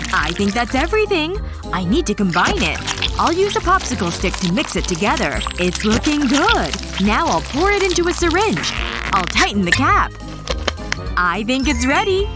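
Music plays in the background of a dry recording with no echo. The speech has long, frequent pauses. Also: moderate pace. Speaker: narrator voicing characters. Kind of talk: tutorial narration and acted sketch dialogue.

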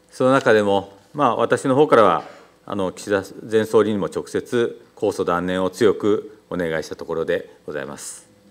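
His pace is moderate. This man's volume rises and falls in big swings. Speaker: mayor. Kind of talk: formal official answer. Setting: council chamber. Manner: formal, hesitant with fillers. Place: hall. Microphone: podium.

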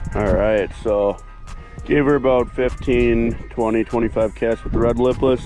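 A man speaks at a very slow pace. Clear music plays behind his voice, and the sound is dry with no echo. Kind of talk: casual vlog chat. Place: boat. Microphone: phone near.

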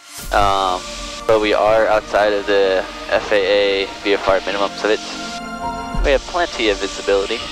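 Clear music plays behind a man with fairly low pitch, the sound dry with no echo. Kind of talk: casual explanation to passenger. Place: plane. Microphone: headset.

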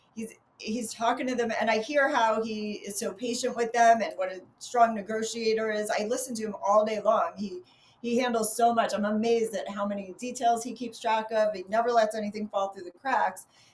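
With a New York accent, a woman talks at a fairly quick pace, her loudness swinging widely while her intonation stays fairly even. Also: fairly high pitch for a woman. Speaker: real estate agent. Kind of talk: interview answer. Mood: warm, praising her husband. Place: office. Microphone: video call.

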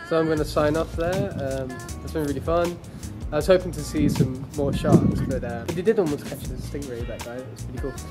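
A man talks at a fairly quick pace over loud background music. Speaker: travel vlogger. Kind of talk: casual vlog chat. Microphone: phone near.

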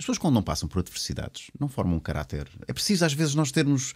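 A man speaks with lively intonation and vocal fry. The background is quiet. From Portugal. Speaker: talk show host. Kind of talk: interview. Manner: halting. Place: studio. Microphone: studio mic.

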